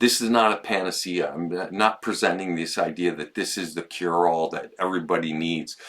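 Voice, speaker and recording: A man talks at a fairly quick pace with hardly any pauses. His intonation stays fairly even. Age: 60s. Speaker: podcast host. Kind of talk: casual chat. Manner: halting, many restarts.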